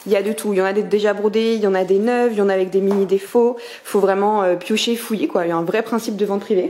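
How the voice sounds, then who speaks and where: A woman is speaking. She goes at a very fast pace. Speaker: vlogger and small brand owner. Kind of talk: casual vlog talk. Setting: in a shop; at home. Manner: animated; whispering.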